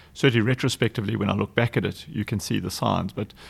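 A man talks very fast in a South African accent. His fairly low voice carries vocal fry. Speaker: nonprofit foundation executive director. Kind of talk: interview conversation.

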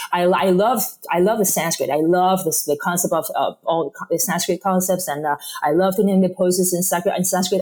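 Against noticeable background noise, a woman at medium pitch talks at a fairly quick pace with fairly even intonation and very even loudness. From Spain. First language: Spanish. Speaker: yoga teacher. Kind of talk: interview. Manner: halting.

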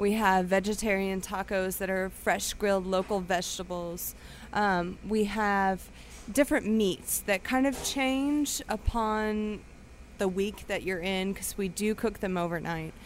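The woman has an unremarkable speaking voice, set at a medium pitch, moving at a fairly slow pace with ordinary pitch variation. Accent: American. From Texas. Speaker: bartender and restaurant manager. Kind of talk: casual chat. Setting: restaurant.

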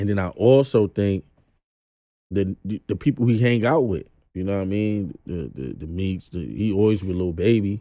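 A dark, mellow tone in a New York accent at a moderate pace. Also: man, fairly low pitch for a man, ordinary pitch variation. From Brooklyn, New York. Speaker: rapper. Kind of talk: casual chat.

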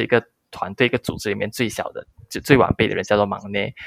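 A man speaks at a very fast pace. The sound is dry and close, with no echo. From Malaysia. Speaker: content creator, former expat engineer. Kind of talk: interview. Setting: remote call.

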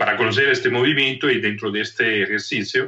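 A man with an Italian accent at a fairly quick pace. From northern Italy, Trento. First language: Italian (speaking Spanish). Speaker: leadership coach and anthropologist. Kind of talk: interview conversation. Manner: halting, many repetitions and fillers.

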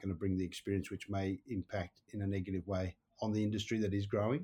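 A man with an Australian accent speaks very fast in a fairly low, dark, mellow, somewhat breathy voice, monotone and flat, against a quiet background. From Wales. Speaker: buyer's agent. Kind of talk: podcast interview.

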